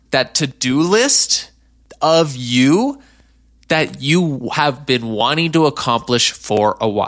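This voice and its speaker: Very slowly, a man speaks with lively intonation and a bright, sharp tone in a very clean recording with a silent background. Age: 20s. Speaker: life coach podcast host. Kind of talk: solo podcast monologue. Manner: casual, conversational with filler words.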